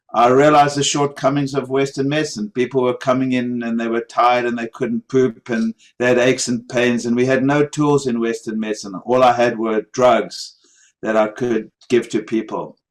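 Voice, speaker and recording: The man's medium-pitched delivery moves at a moderate pace with monotone, flat intonation. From South Africa. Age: 60s. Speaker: medical doctor. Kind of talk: interview. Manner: halting, with many fillers.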